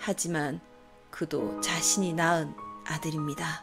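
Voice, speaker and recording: The words unfold very slowly while music plays in the background. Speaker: storyteller. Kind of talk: read story narration.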